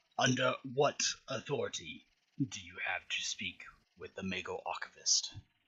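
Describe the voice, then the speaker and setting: A man in a put-on character voice, at a moderate pace with long, frequent pauses. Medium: actual play. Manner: formal.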